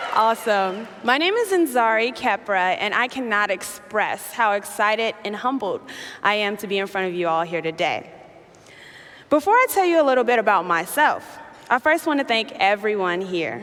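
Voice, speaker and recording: Her pitch fairly high and her intonation lively, a woman speaks at a moderate pace. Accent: American. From US Midwest, south side of Chicago. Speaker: youth activist. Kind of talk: keynote speech. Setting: stage with audience.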